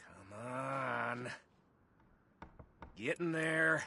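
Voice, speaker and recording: A man puts on a character voice at a medium pitch. It comes out raspy. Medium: video game. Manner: sardonic, gruff.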